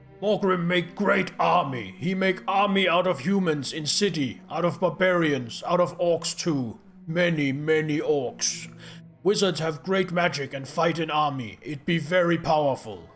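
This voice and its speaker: A man uses a put-on character voice with a pompous tone and a high pitch. He keeps a moderate pace over clear music in the background. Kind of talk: comic overacting. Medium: game stream. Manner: broken grammar, pompous.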